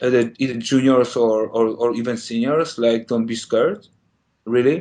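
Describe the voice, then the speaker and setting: A man with a Polish accent speaks with medium pitch and a dark, mellow tone. His intonation is fairly even and his pace moderate. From Poland. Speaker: game animator. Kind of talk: interview. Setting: podcast. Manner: halting.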